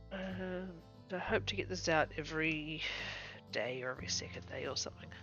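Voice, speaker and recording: Soft-spoken and at a moderate pace, the voice comes through with music playing in the background. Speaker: gameplay streamer. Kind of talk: casual gameplay commentary.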